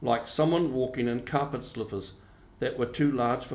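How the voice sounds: Delivered in a natural reading voice, the speech shows ordinary pitch variation.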